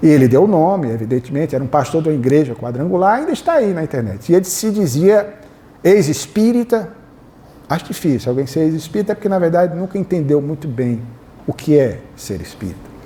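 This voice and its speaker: A fairly quick pace with very wide pitch swings. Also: man, fairly high pitch for a man. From Northeast Brazil, Fortaleza, Ceará. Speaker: spiritist lecturer and biographer. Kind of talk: lecture. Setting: hall with live audience, PA microphone.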